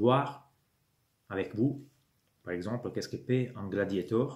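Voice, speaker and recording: A man speaking fairly slowly keeps a medium pitch with ordinary variation. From Italy. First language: Italian (speaking French). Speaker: YouTuber, miniature wargaming hobbyist. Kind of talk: channel introduction monologue. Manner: hesitant, many fillers.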